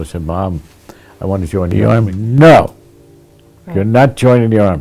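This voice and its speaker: The speaker has a New York accent and very wide pitch swings at a moderate pace. Music plays in the background. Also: man, fairly low pitch for a man. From Sleepy Hollow and Tarrytown, New York. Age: 80s+. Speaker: centenarian local resident. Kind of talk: interview answer.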